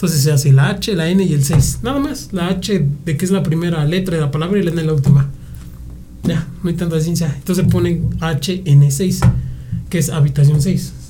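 With music in the background and audible room echo, a man talks at a moderate pace in a fairly high voice with ordinary pitch variation. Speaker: guitarist in a rock band. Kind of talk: casual chat.

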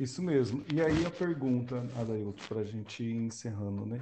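Speaking at medium pitch with ordinary pitch variation, a man has a dark, mellow tone. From Brazil, Londrina (Paraná). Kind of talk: casual religious discussion.

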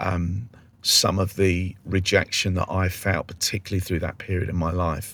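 A man speaks in a fairly low, somewhat breathy voice. The recording is very clean, with a silent background. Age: 50s. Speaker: street evangelist. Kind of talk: interview.

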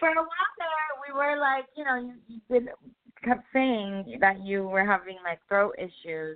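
Very wide pitch swings and big swings in loudness. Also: woman, high pitch for a woman, fairly slow pace. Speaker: radio co-host. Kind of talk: casual chat. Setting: remote call-in from Los Angeles.

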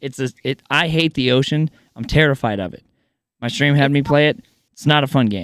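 Recorded very cleanly against a silent background, a man talks at a fairly quick pace in a normal speaking voice, with a fairly high pitch, ordinary pitch variation and a dry, close sound with no echo. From US Midwest. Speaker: podcast host. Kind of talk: casual interview chat.

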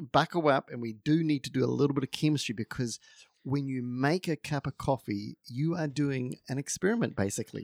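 Speech with a New Zealand accent runs at a fairly quick pace with ordinary pitch variation. The sound is dry and close with no echo. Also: man, fairly high pitch for a man. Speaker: podcast co-host. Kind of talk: casual podcast chat about coffee.

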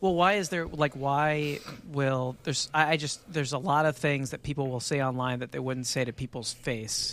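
This man uses a normal speaking voice and leaves hardly any pauses. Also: fairly high pitch for a man, ordinary pitch variation, moderate pace. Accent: American. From Texas. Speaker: podcast guest. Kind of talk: casual chat.

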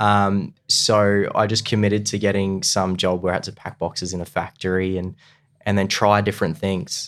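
A man speaks in an Australian accent with monotone, flat intonation. The recording is very clean, with a silent background. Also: fairly low pitch for a man, moderate pace. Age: 20s. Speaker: real estate agent. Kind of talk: casual chat.

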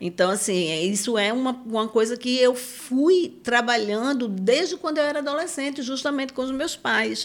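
This woman has a high pitch and lively intonation. Her moderate pace has hardly any pauses. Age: 50s. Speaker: psychoanalyst and circus school director. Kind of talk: interview conversation.

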